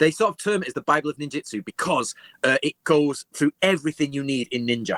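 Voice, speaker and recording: Speaking very fast with an English accent, a man uses a fairly high pitch and ordinary pitch variation. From England. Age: 40s. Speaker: historian. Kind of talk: interview.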